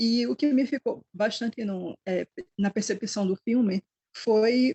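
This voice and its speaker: Somewhat breathy, a woman speaks at a fairly high pitch with fairly even intonation. Her accent is northeastern Brazilian. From Northeast Brazil. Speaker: historian. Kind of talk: book club talk. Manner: halting.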